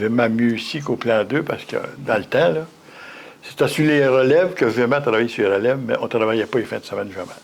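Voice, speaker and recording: A man's medium-pitched voice rises and falls in an ordinary way against noticeable background noise. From Quebec, Mauricie (Shawinigan). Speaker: retired factory worker. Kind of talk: interview. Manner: halting, repeats words.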